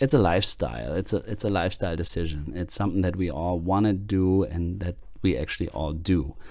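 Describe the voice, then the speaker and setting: A man with a German accent talks at a fairly quick clip, barely pausing, his very deep, low voice showing vocal fry and ordinary pitch movement. The recording is very clean, with a silent background. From Germany. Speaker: podcast host. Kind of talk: podcast monologue. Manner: hesitant, many fillers.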